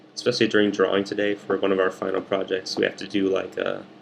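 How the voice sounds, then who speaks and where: Quiet and very fast, a man speaks at a fairly low pitch. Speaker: art student vlogger. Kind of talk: casual video diary.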